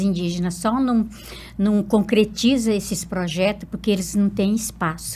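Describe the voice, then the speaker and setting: A woman speaks with a medium pitch and a dark, mellow, somewhat breathy tone. Her pace is moderate and her intonation fairly even. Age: 70s. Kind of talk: interview.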